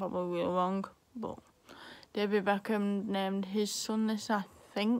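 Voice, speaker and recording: A woman with an English accent speaks with fairly even intonation. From England. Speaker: vlogger. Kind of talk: casual chat. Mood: cheerful, chatty. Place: home room. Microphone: phone near.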